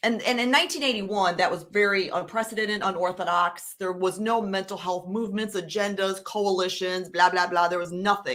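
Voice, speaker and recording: In a Chicago accent, a woman speaks at a fairly quick pace with hardly any pauses, medium pitch and fairly even intonation. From US Midwest, Chicago. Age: 40s. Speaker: suicide prevention advocate. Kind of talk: interview testimony.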